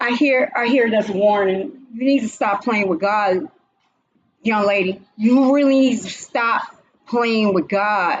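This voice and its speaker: The pace is fairly slow, and the pitch variation is ordinary. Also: woman, fairly high pitch for a woman. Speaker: livestream host doing spirit-box style readings. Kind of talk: casual livestream commentary. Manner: animated.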